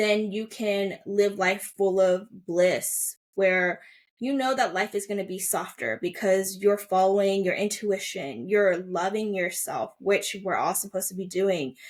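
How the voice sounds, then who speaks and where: In a very clean recording with a silent background, a woman with an American accent speaks at a medium pitch, fairly slowly and with fairly even intonation. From US, Chinese-American family. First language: Mandarin. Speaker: holistic coach. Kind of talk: podcast interview. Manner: casual, many fillers.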